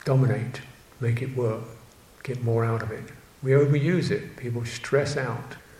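A man talks with fairly even intonation and long, frequent pauses. Noticeable background noise is present. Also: medium pitch for a man, moderate pace. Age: 70s. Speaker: Buddhist monk teacher. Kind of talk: dharma talk. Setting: monastery. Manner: halting.

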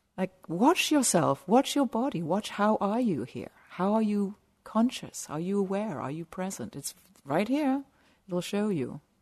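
A woman at medium pitch speaks fairly slowly with an English accent and very wide pitch swings against a quiet background. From southern England. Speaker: meditation teacher. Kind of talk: dharma talk. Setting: meditation retreat center.

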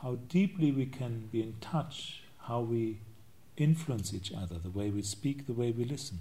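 A dark, mellow, somewhat breathy voice with lively intonation at a moderate pace. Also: man, medium pitch for a man. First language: not English. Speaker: Buddhist monk and meditation teacher. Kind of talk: dharma talk. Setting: meditation retreat.

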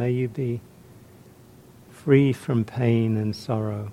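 A man's very slow, medium-pitched voice with fairly even intonation, a calm, warm tone and a dark, mellow tone. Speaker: meditation teacher. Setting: meditation retreat. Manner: slow, gentle, soft-spoken with long pauses; calm, warm, reflective.

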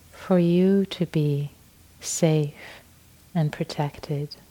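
The speaker uses a gentle, calm tone and moves at a very slow pace. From Iran. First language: Persian. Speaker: meditation teacher. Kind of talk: guided meditation, with a talk on practice. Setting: meditation retreat hall. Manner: slow, soft, gentle, calm pacing with long pauses.

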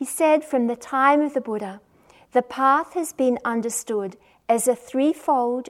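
Here a woman speaks at a high pitch. Her pace is fairly slow. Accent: Australian. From Australia. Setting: meditation retreat center.

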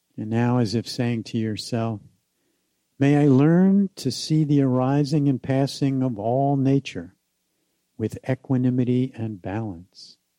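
A man talks at a medium pitch and a fairly slow pace, his tone dark and mellow with ordinary pitch variation. The sound is dry and close, with no echo. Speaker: meditation teacher. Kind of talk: guided meditation with repeated loving phrases. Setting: meditation hall with group. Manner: slow, gently repetitive phrasing; soft-spoken, calm and soothing.

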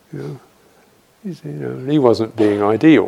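A man speaks with a southern English accent. His pitch swings very widely. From London, England. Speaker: Buddhist monk and meditation teacher. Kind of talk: dharma talk with Q&A; guided meditation. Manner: halting, with frequent fillers.

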